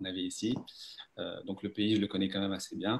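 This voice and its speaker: This very clean recording has a silent background. A man with a fairly low pitch speaks at a fairly quick pace. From France. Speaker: dentist. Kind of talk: interview on live stream. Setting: Facebook live.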